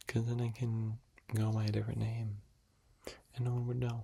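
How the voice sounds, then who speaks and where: A fairly quick whisper. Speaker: ASMR youtuber. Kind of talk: ASMR whispered chat. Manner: whispering.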